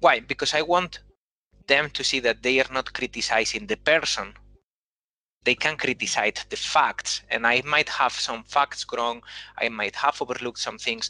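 In a dry, close recording with no echo and a quiet background, a man with a Spanish accent talks at a moderate pace. His fairly high, bright, sharp voice has ordinary pitch variation. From Spain. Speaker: engineering manager. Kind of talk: panel discussion.

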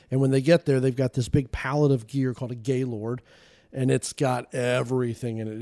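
A man speaks with an American accent. His tone is dark and mellow, his intonation fairly even. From US South, Georgia. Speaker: tactical gear industry executive, charity founder. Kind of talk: casual chat.

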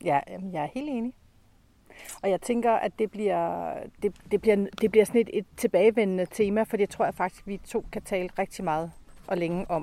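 A woman speaks at a moderate pace in a dark, mellow tone. The sound is dry and close with no echo, on a very clean recording over a silent background. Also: medium pitch for a woman, ordinary pitch variation. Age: 50s. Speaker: podcast co-host. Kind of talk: casual chat. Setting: outdoors.

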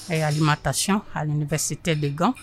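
At a fairly slow pace, a woman talks in a somewhat breathy voice. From Congo. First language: French (speaking Dutch). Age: 60s. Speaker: kitchen worker. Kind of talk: interview.

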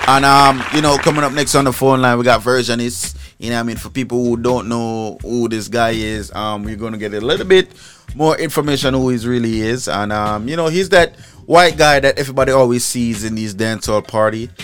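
Upbeat and animated, a man with a medium-pitched voice speaks at a fairly quick pace with ordinary pitch variation. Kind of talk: radio DJ patter with Caribbean-style party promo. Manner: animated, hyped, rhythmic and repetitive, hawking an event in patois-tinged slang; punchy catchphrase tags, confiding and upbeat.

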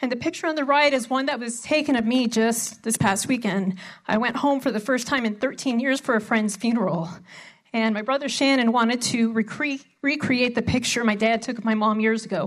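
In an ordinary speaking voice, a woman with an American accent talks at a moderate pace, pitched fairly high with ordinary pitch variation. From Arizona, small mining town. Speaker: family law attorney. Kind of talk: conference talk. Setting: stage with audience.

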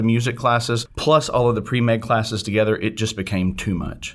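This man has an unremarkable speaking voice, medium in pitch and fairly quick in pace. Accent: American. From US South, northeast Arkansas near Memphis. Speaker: renal pathologist. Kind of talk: interview.

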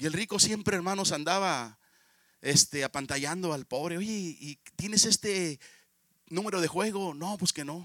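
A man's high, bright, sharp voice at a fairly slow pace, with ordinary pitch variation and a dry, close sound free of echo. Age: 50s. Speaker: pastor. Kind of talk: sermon.

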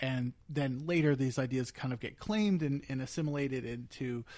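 A man at a moderate pace and medium pitch, an ordinary speaking voice, in a very clean recording with a silent background. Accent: American. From Eastern Pennsylvania, US. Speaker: podcast co-host and producer. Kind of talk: casual chat. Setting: living room.

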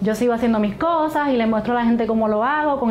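Over noticeable background noise, a woman with a fairly high pitch talks at a very fast pace with ordinary pitch variation. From Puerto Rico (Hormigueros). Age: 20s. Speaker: patient with multiple sclerosis. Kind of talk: testimony.

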